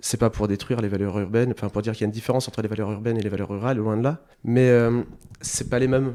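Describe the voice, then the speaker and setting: A man speaks at a very fast pace, his pitch fairly low and his intonation fairly even. His tone is dark and mellow. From northern France, French Flanders (near Hazebrouck). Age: 30s. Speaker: restaurant owner. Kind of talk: interview. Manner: hesitant, many repetitions.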